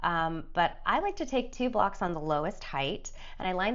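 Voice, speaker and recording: Room echo is audible as a woman speaks in a calm tone with lively intonation. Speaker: yoga teacher. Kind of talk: tutorial.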